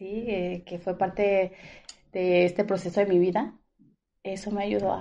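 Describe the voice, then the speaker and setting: A woman with a medium pitch and a dark, mellow tone speaks in a flat monotone. She goes fairly slowly, with long, frequent pauses and big swings in loudness. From Mexico, Guadalajara. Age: 30s. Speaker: dental product saleswoman. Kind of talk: casual interview.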